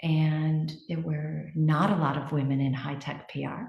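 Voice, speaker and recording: With an American accent, a woman speaks fairly slowly and somewhat breathily in a very deep, low pitch, keeping her intonation fairly even. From United States. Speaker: marketing executive. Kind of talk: interview. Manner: hesitant, many fillers.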